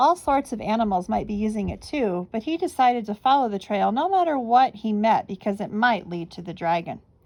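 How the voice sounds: A natural voice reads aloud with lively intonation.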